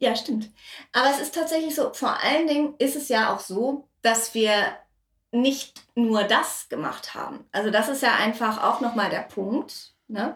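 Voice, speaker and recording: A woman talks fairly slowly in a high voice, her pitch shifting a normal amount. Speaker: podcast host and voice actor. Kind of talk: casual chat. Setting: home kitchen.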